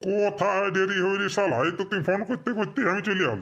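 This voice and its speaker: A man speaks at a moderate pace in a cartoonish character voice pitched high. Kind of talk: comic cartoon dialogue. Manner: sarcastic, swearing casually.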